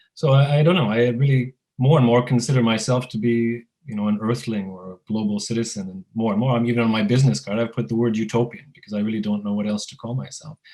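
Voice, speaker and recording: With a Canadian accent, a man speaks very fast at a medium pitch with ordinary pitch variation. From Canada, Finnish-Canadian community. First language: Finnish. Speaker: entrepreneur. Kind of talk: interview conversation. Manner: halting, many fillers.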